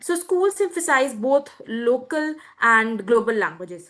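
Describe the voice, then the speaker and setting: Over a quiet background, a woman with a high pitch and a bright, sharp tone speaks with very wide pitch swings. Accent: Indian. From India. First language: Hindi. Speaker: student presenter. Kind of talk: webinar presentation.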